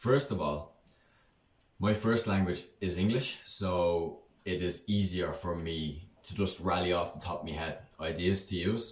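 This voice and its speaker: The pace is fairly slow and the voice somewhat breathy. Room echo can be heard. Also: man. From Ireland, Dublin. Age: 20s. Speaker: Irish language speaker and English teacher. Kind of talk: casual vlog talk. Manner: hesitant, many ums.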